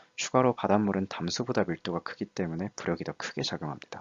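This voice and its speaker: In a very deep, low pitch, a man talks at a fairly quick pace with ordinary pitch variation. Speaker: student diving club lecturer. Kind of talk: lecture. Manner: fast.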